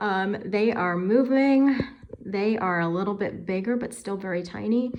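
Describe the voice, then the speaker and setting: Over light background noise, a woman talks at a moderate pace with ordinary pitch variation. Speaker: tarantula keeper and video creator; video creator. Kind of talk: tutorial. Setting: home kitchen. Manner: higher pitched and energetic. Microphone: phone near.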